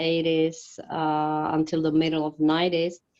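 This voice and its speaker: With a Slovak accent, a woman speaks at a fairly low pitch. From Slovakia. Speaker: ministry worker. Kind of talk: interview. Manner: halting.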